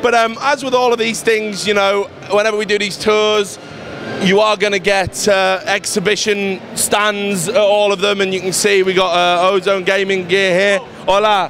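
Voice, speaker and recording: A man talks in a high voice with fairly even intonation. Background noise is noticeable. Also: moderate pace. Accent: English. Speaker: esports reporter. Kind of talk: video tour. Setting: indoor event hall. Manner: casual, frequent fillers.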